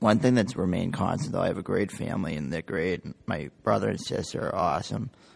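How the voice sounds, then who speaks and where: A man with an American accent speaks fairly quickly in a very deep, low pitch, using vocal fry and lively intonation. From New Hampshire, US. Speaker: brain injury survivor. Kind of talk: interview testimony. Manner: casual, many fillers.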